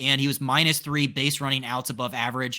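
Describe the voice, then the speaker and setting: On a very clean recording with a silent background, a man with a fairly high pitch and a bright, sharp tone speaks at a fairly quick pace. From Eastern Shore of Maryland. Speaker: podcast host. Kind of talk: casual chat.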